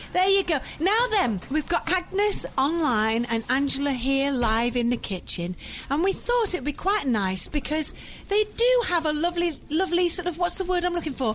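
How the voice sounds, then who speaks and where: A woman talks at a moderate pace with a high pitch and very wide pitch swings. Her loudness stays very even over noticeable background noise. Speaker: podcast host. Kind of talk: casual chat. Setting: home kitchen.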